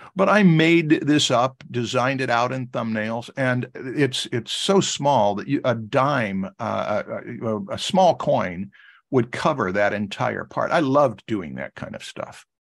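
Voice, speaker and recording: A man with an American accent speaks at a fairly slow pace with hardly any pauses, in a plain, everyday voice. His pitch is medium and his intonation lively. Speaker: art instructor. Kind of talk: lecture. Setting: video call.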